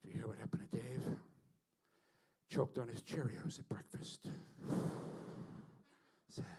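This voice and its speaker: Quiet and raspy, a man does a put-on character voice at a moderate pace with long, frequent pauses. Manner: hushed whisper.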